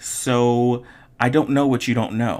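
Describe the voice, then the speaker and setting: In a very clean recording with a silent background, a man with an unremarkable speaking voice talks at a moderate pace and medium pitch. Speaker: online art instructor. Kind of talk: tutorial.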